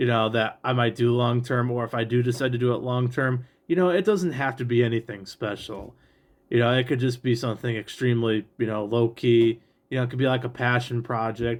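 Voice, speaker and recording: This man talks at a fairly quick pace, his medium-pitched voice holding a fairly even intonation. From Great Lakes region, USA. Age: 20s. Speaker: real estate trainee appraiser. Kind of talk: casual talk to camera. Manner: halting, frequent filler 'you know'.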